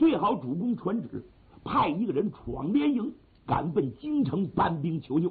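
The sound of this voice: An unforced reading voice delivers the text.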